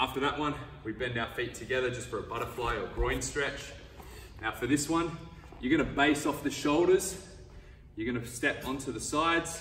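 Ordinary pitch variation and long, frequent pauses mark speech at a moderate pace, with audible room echo and faint music in the background. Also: man. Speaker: wrestling coach. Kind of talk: tutorial. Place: gym.

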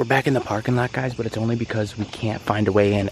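Loud background noise in a dry sound with no echo. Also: man. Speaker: vlogger. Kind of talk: casual vlog chat. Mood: disappointed, hushed. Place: street. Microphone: phone near.

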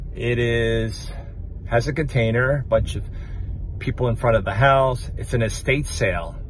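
Over light background noise, a man speaks at a fairly slow pace with a dry sound that has no echo. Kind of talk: casual vlog chat. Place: car. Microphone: phone near.

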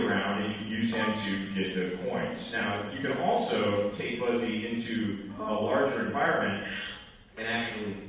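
Strong room echo surrounds a man talking at a moderate pace. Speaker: presenter. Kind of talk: conference presentation. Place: hall.

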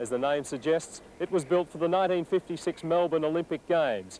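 The sound is dry with no echo, and the tone is dark and mellow. Delivery comes at a moderate pace with ordinary pitch variation. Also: man. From Australia. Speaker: narrator. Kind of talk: documentary narration. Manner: formal, steady, measured. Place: stadium. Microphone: lapel.

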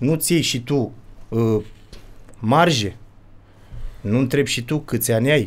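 A man speaks at a very slow pace with long, frequent pauses. His pitch is medium, with ordinary pitch variation. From Romania. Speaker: father of a child vlogger, would-be fighter; podcast guest. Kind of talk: casual chat. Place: studio. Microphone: studio mic.

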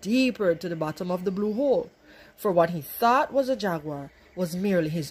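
It is a natural reading voice with lively intonation.

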